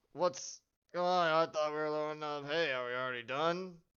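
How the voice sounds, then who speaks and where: A man puts on a gruff character voice, fairly high in pitch, with fairly even intonation and a moderate pace. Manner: groggy, confused.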